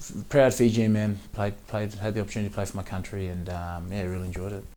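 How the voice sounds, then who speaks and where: A man's fairly low voice in an Australian accent, dark and mellow in tone, very fast, with audible room echo. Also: fairly even intonation. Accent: Australian, a bit of a twang. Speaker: professional rugby player. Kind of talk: interview. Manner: halting, many fillers and repeats.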